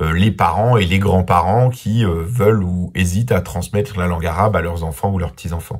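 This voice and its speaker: Very deep and low, a man's somewhat breathy voice shows ordinary pitch variation. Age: 40s. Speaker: journalist and documentary maker. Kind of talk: interview answers. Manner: hesitant, many filler sounds.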